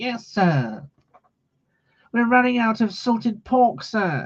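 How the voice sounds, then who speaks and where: Whiny in tone and fairly high in pitch, this put-on character voice drags along at a very slow pace. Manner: whiny, servile.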